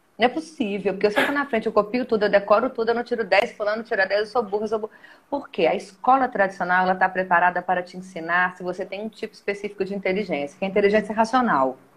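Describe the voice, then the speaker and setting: The words come at a very fast pace with hardly any pauses and ordinary pitch variation. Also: woman, medium pitch for a woman. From Caratinga, Minas Gerais, Brazil. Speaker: theatre teacher and director. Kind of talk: casual chat.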